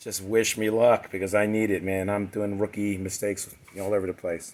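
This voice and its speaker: A man talks at a moderate pace in a flat, monotone voice. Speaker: DIY car builder. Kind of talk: DIY build vlog. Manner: casual, with many fillers.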